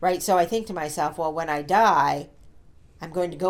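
This woman has a plain, everyday voice, fairly low in pitch, delivered at a moderate pace. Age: 60s. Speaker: podcast co-host. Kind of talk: casual chat.

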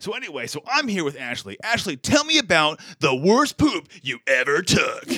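A man does a put-on character voice. His tone is bright and sharp, with big pitch swings. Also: fairly high pitch for a man, moderate pace.

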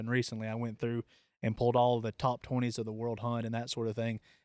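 A man with a Southern US accent at a very fast pace, in monotone, flat intonation, with a dry, close sound with no echo on a very clean recording with a silent background. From Tennessee. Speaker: podcast host and hunting program manager. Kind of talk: casual interview. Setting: on location at an outdoor event.

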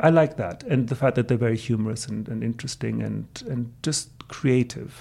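Speaking with a German accent, a man keeps a moderate pace. He leaves hardly any pauses. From Greece. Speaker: translation professor. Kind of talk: interview answers. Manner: measured, hesitant with repeated words.

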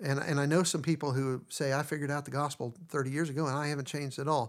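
Speech comes at a very fast pace on a very clean recording with a silent background. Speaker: podcast host. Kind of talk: casual chat. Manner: loud.

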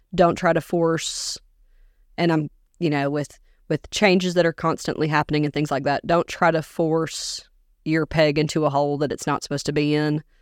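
A woman with an American accent speaks at a moderate pace in a very deep, low pitch and monotone, flat intonation, on a very clean recording with a silent background and a dry, close sound with no echo. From US South, Augusta, Georgia. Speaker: teacher. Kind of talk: interview conversation.

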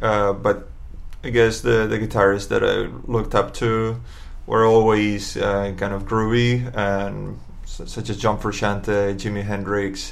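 A man with a fairly low voice speaks very slowly in a monotone, flat intonation. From Barcelona, Spain. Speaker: guitarist in a band. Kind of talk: casual chat.

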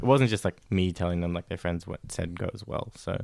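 Very deep and low, a man talks with an Australian accent at a very fast pace. The sound is dry and close, with no echo. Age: 20s. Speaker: podcast guest. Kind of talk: casual chat. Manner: hesitant.

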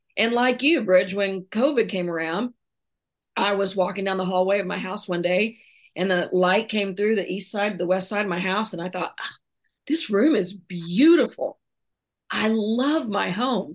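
At a moderate pace, a woman speaks in a normal speaking voice with medium pitch and ordinary pitch variation. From Oklahoma, small town. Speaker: retired college basketball coach and author. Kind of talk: interview.

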